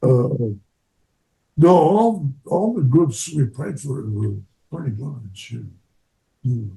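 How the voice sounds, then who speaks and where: A man's somewhat breathy, dark and mellow voice, with very wide pitch swings, a very slow pace and long, frequent pauses. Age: 90s. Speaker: war veteran. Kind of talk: interview. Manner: halting.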